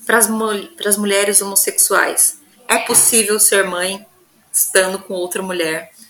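Amid noticeable background noise, a woman speaks at a fairly slow pace in a monotone, flat delivery. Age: 30s. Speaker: geographer and researcher, mother. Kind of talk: interview.

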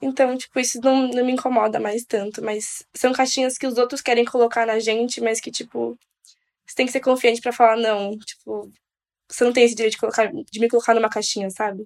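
A woman talks at a fairly quick pace in a fairly high, monotone, flat voice. Her loudness swings widely. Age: 20s. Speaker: medical student. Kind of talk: casual chat.

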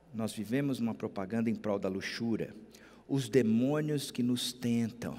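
A man speaks at a fairly slow pace, his pitch medium. Audible room echo surrounds the voice. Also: ordinary pitch variation. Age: 50s. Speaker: pastor. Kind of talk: sermon.

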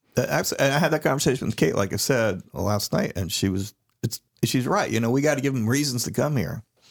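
Against a silent background on a very clean recording, a man with an American accent talks at a very fast pace, his medium pitch carried by lively intonation. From Florida, Daytona Beach area. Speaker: podcast co-host. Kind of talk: casual chat.

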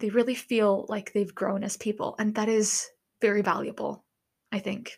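Against a silent background on a very clean recording, a woman speaks fairly slowly at a medium pitch with monotone, flat intonation. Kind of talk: casual solo monologue. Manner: hesitant, filler-heavy.

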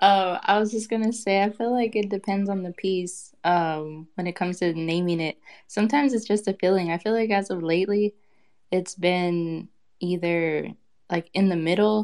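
Fairly even in intonation and medium in pitch, a woman talks at a moderate pace in an unremarkable speaking voice. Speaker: digital artist. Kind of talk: casual chat. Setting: audio chat room.

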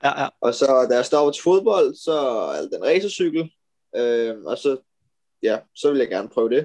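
A man speaks at a fairly slow pace. The sound is dry and close, without echo. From Denmark, Amager (Copenhagen). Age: 20s. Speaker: professional road cyclist. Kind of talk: interview. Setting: video call.

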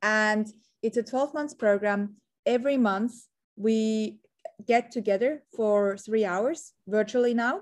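In a slight Swiss accent, a woman speaks at a very slow pace and fairly high pitch with ordinary pitch variation, in a very clean recording with a silent background. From Switzerland. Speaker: entrepreneur and marketing strategist. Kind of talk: interview.

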